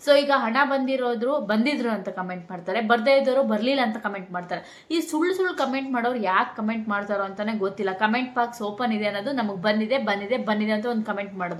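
A woman at a fairly high pitch with ordinary pitch variation, amid noticeable background noise and audible room echo. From Karnataka, village near Shivamogga. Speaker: vlogger. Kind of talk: casual vlog talk to camera.

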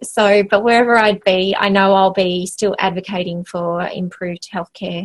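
A woman with an Australian accent and fairly even intonation, in a dry sound with no echo against a quiet background. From Western Australia, small country town. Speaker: health organisation CEO; interview guest. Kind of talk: interview. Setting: remote call from office. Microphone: video call.

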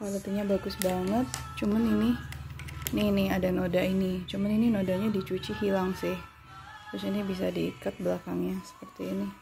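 Clear music in the background accompanies a woman speaking at a fairly quick pace. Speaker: online clothing seller. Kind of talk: product demonstration. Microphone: phone near.

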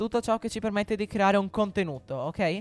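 Dry sound with no echo carries a man's high-pitched voice. He moves at a fairly quick pace. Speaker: tech YouTuber; tech youtuber. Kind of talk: tutorial. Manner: halting, with frequent repetitions. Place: home room. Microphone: studio mic.

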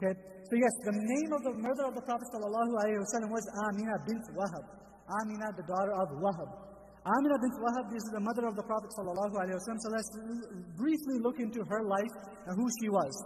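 A man's high-pitched voice at a fairly quick pace with ordinary pitch variation. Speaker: religious teacher. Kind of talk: lecture. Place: church. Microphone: studio mic.

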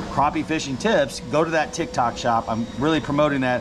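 A man speaks at a moderate pace with noticeable background noise around him. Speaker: fishing guide. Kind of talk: casual vlog chat. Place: boat. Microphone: phone near.

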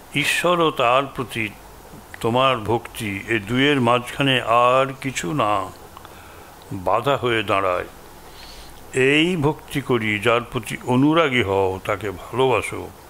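A man speaks with ordinary pitch variation. Light background noise can be heard. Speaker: monk giving endowment lecture. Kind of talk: lecture. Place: hall. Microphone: podium.

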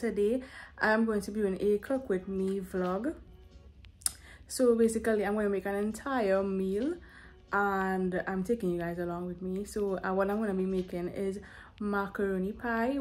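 A woman at a moderate pace with fairly even intonation, faint music in the background. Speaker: home cooking vlogger. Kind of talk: casual vlog chat. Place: kitchen. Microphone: phone near.

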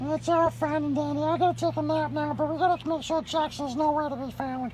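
A woman's put-on character voice, high-pitched and fairly quick, over clear background noise. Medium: role play. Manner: sassy, dramatic.

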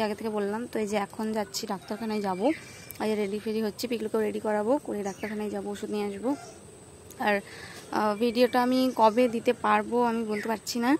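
Over light background noise, a woman speaks in a monotone, flat way, the sound dry with no echo. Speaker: home vlogger. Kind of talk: casual vlog chat. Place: street. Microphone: phone near.

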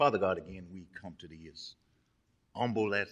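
A man with an American accent speaks against a quiet background. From Texas. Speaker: pastor. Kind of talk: sermon. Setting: church. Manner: animated. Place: church. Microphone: podium.

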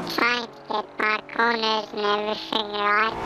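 Clear background noise sits behind a female-sounding voice at a fairly high pitch. The pace is moderate. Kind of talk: casual gameplay commentary. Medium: solo performance. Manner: rambling, relaxed.

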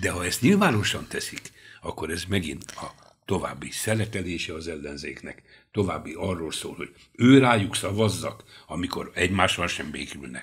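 A man talks at a moderate pace in a very deep, low pitch, somewhat breathy, with ordinary pitch variation. His loudness swings widely against a quiet background. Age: 70s. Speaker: lawyer. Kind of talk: radio interview discussion. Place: studio. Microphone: studio mic.

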